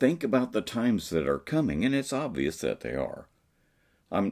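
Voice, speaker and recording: With vocal fry at a moderate pace, a man speaks on a very clean recording with a silent background. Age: 60s. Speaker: preacher. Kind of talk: sermon.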